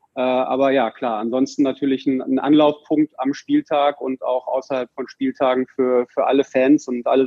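This man speaks at a moderate pace with a medium pitch. His intonation is monotone and flat. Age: 40s. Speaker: merchandising managing director of a football club. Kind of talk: podcast interview. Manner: hesitant with frequent fillers.

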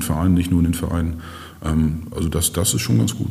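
A man speaks with a very deep, low pitch and fairly even intonation. Audible room echo surrounds the voice. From northern Germany, Schleswig. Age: 50s. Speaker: mayor. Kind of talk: casual interview. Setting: office.

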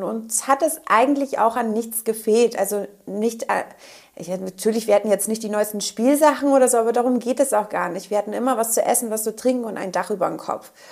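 Noticeable background noise sits behind a woman speaking at a fairly quick pace. Her pitch is fairly high and her intonation fairly even. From northern Germany. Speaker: pharmaceutical field representative. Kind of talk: interview. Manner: hesitant, many filler sounds.

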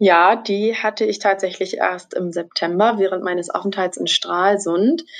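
In a plain, everyday voice, a woman speaks at a fairly slow pace with medium pitch and ordinary pitch variation. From Brandenburg, Germany. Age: 20s. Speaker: trainee journalist. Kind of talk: interview.

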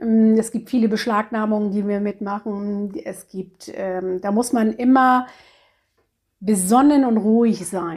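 A woman speaks in a somewhat breathy voice with a dark, mellow tone. Her intonation is fairly even. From northern Germany, Cuxhaven. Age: 50s. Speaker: animal shelter chairwoman. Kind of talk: interview. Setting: office at animal shelter.

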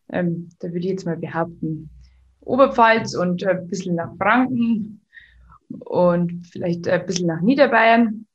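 Somewhat breathy speech with lively intonation at a fairly slow pace. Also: woman. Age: 20s. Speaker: business owner. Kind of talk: interview. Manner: hesitant, many filler sounds.

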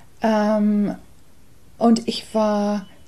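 Dark and mellow in tone, this woman's voice is somewhat breathy. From England. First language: English (speaking German). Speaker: artist and songwriter. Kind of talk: interview.

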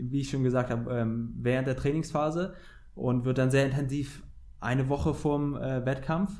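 At a fairly slow pace, a dark, mellow tone carries fairly even intonation through audible room echo. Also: man. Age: 20s. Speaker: professional windsurfer. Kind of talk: interview.

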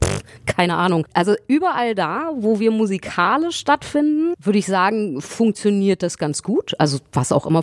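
A woman with a medium-pitched voice swings very widely in pitch, recorded with a dry, close sound and no echo. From Berlin. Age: 40s. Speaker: singer. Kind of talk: casual chat.

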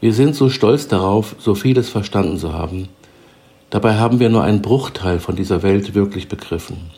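A man's normal speaking voice at a fairly low pitch, with ordinary pitch variation and a moderate pace. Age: 60s. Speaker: self-help podcaster. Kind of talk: scripted narration. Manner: formal.

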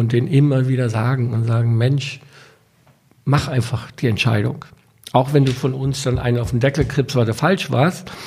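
Breathing a little audibly, a man speaks at a moderate pace in a medium pitch. He leaves long, frequent pauses. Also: fairly even intonation. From Germany (US-born, moved at six). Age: 50s. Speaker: restaurant entrepreneur. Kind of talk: interview.

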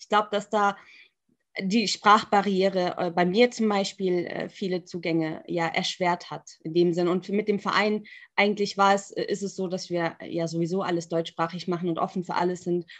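A woman speaks at a moderate pace and medium pitch, her intonation monotone and flat against a quiet background. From Germany. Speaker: Islamic and religious studies scholar. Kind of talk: panel discussion. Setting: video call.

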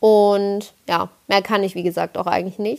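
A woman's voice at medium pitch and a fairly slow pace. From Palatinate, Kaiserslautern. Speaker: podcaster. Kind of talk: casual monologue.

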